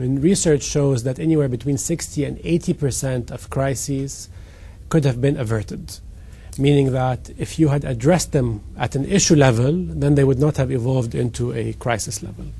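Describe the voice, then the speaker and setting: This man has a medium pitch, ordinary pitch variation and a dark, mellow tone that is somewhat breathy. He speaks at a moderate pace. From Egypt. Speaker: company CEO. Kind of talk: interview.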